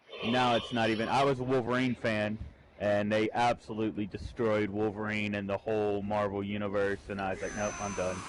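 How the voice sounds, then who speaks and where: With noticeable background noise, a man speaks at a fairly quick pace in a fairly low pitch with monotone, flat intonation. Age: 30s. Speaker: gamer. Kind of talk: casual chat.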